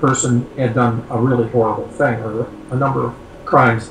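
A man's voice carries audible room echo with light background noise. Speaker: scientist and author; guest. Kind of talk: interview. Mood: calm, reflective storytelling. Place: home room. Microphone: video call.

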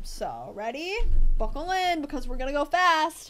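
A woman speaks at a high pitch with an American accent, her voice swinging very widely. Noticeable background noise runs underneath. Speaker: debate coach. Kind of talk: tutorial.

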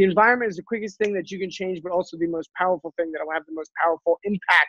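Against a quiet background, a high-pitched man talks very fast in an animated tone, the sound dry with no echo. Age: 30s. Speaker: life coach for young men. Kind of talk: casual chat. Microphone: earbuds.

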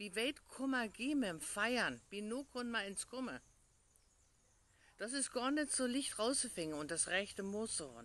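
A woman with a northern Hessian accent speaks at a fairly high pitch and a fairly slow pace, with lively intonation. Her long pauses come often, and the sound is dry with no echo. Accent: northern Hessian Schwalm dialect. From Hesse, Germany. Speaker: pastor. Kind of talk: short devotional in dialect. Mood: calm, reflective, hopeful. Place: garden. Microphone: phone near.

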